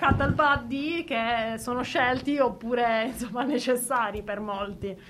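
A woman speaks with ordinary pitch variation. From Apulia, southern Italy (Bari). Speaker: radio co-host. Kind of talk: radio show chat.

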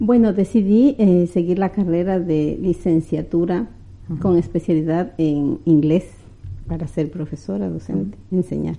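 A woman's fairly low, dark, mellow voice, with ordinary pitch variation and a fairly slow pace. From Ecuador, Quito. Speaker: migrant and former university student. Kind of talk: interview.

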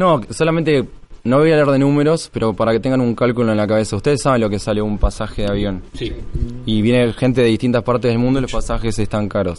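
The speech runs at a very fast pace. Pitch variation is ordinary. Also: man, medium pitch for a man. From Argentina, Tres Arroyos (Buenos Aires province). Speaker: conference organizer. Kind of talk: interview conversation. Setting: live recording at a security conference.

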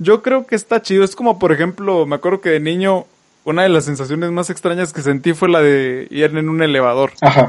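A man speaks at a fairly quick pace. His voice is high in pitch with ordinary pitch variation. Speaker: podcast host. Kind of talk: casual chat.

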